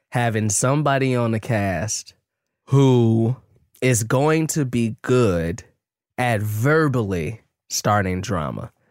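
Very slow and medium in pitch, a man speaks with lively intonation. The recording is very clean, with a silent background. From Chicago, US Midwest. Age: 30s. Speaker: podcast co-host. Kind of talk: casual chat. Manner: animated.

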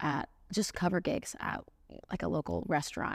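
A woman talks at a moderate pace with vocal fry. The recording is very clean, with a silent background. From Central Florida, US South. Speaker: singer-songwriter. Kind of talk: casual interview. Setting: in person studio.

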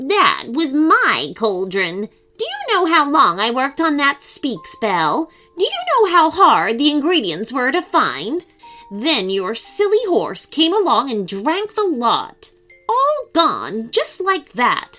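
A put-on character voice that sounds female, croaky and high-pitched, speaks at a fairly slow pace with faint music in the background. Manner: angry, scolding.

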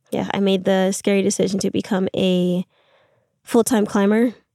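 Soft-spoken, a woman talks at a moderate pace and medium pitch. Her intonation is fairly even, and the sound is dry and close with no echo. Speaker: climbing instructor and routesetter. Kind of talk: casual chat. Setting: in a van.

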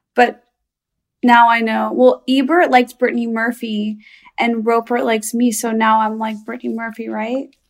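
Using a plain, everyday voice, a woman with a fairly high pitch speaks at a moderate pace with fairly even intonation. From Chicago, US Midwest. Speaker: stand-up comedian. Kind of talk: casual chat.

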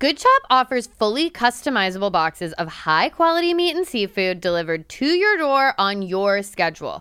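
A woman with an American accent talks at a moderate pace with hardly any pauses. Her fairly high pitch swings very widely. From New Jersey, Italian American. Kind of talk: casual comedic chat.

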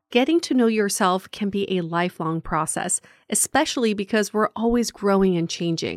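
On a very clean recording with a silent background and a dry, close sound with no echo, a woman of medium pitch speaks at a moderate pace with lively intonation. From grew up outside the US, moved as child. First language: not English. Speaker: podcast host, dating sociologist. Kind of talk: casual chat; read-out ad.

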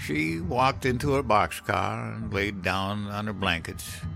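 With clear music in the background, a man in a put-on character voice speaks slowly at a fairly low pitch, with vocal fry and ordinary pitch variation.

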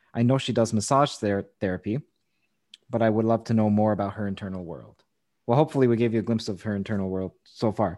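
Against a quiet background, a man with a medium-pitched voice talks at a very fast pace. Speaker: podcast host interviewer. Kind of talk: interview with sponsor read.

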